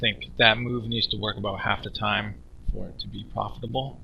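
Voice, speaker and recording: The pace of this man's speech is fairly quick. Big swings in loudness run through it. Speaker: poker streamer / coach. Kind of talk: poker session commentary. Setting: cheap microphone, screen-recording voiceover. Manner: soft-spoken, mumbling, casual.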